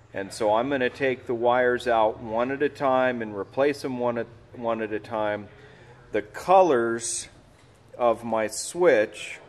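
A man's voice at a fairly slow pace, pitch varying in an ordinary way. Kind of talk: tutorial. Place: workshop.

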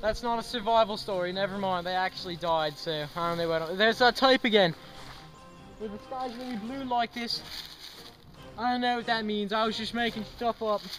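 Over clear music in the background, a high-pitched man speaks at a fairly quick pace with ordinary pitch variation. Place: forest.

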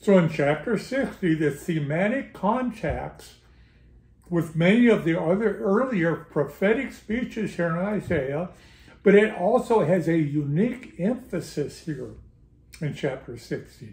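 A man speaks fairly slowly, and audible room echo hangs around his words. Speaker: bible study teacher. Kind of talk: lecture. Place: home room. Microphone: camera far.

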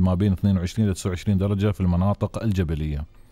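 This man has a dark, mellow tone, a fairly low pitch and a moderate pace. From UAE. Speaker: radio and TV host. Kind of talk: live call-in show. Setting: studio. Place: studio. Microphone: studio mic.

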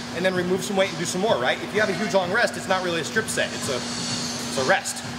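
Loud noise runs through the background. Over it, a man talks. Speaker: personal trainer. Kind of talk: tutorial coaching. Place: gym.

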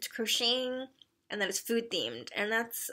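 A woman's bright, sharp tone against a quiet background. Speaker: craft vlogger. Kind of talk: casual vlog chat. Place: home room. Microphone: phone near.

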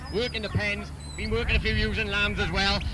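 The sound of this man's voice is dry with no echo, though there is noticeable background noise. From Wales. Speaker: livestock auctioneer. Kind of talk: auctioneer introducing lots. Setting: outdoors. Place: open country.

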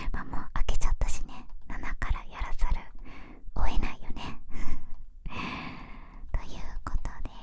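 Soft-spoken whispering comes at a fairly slow pace, with big swings in loudness. Light background noise is audible. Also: woman. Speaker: ASMR creator. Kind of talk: soft-spoken ASMR unboxing chat. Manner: soft close whisper into binaural mic. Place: home room. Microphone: studio mic.

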